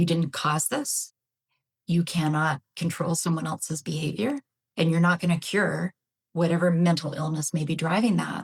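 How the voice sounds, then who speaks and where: A woman with a slight Canadian accent speaks at a moderate pace. Her voice is somewhat breathy and fairly low, with ordinary pitch variation. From Canada. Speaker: psychologist, betrayal trauma expert. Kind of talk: podcast interview.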